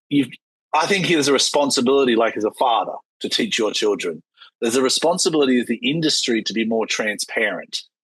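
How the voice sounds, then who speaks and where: A man's very fast, medium-pitched speech in an Australian accent with lively intonation. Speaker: yacht captain, podcast host. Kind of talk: casual interview chat.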